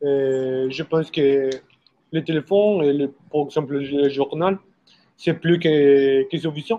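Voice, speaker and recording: A man speaks in a Spanish accent at a very slow pace, fairly high in pitch. His tone is dark and mellow, with fairly even intonation. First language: Spanish (speaking French). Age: 30s. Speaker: older guest. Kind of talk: casual discussion.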